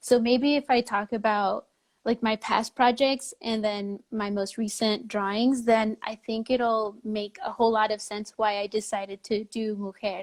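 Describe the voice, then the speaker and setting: In a dry, close recording with no echo, a woman with a fairly high voice speaks fairly slowly in a flat monotone. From Southern California, Mexican-American family. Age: 30s. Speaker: artist. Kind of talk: interview. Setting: video call from her studio. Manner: halting.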